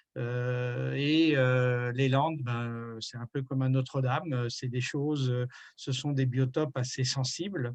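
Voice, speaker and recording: This man talks very slowly, with his pitch at a medium level. His intonation stays fairly even. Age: 60s. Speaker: retired environmental activist. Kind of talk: interview. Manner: hesitant, many fillers.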